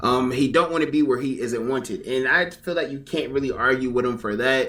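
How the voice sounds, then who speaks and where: A man talks at a fairly quick pace with ordinary pitch variation, his voice carrying audible room echo. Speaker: commentary YouTuber. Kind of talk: reaction commentary. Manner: casual, conversational.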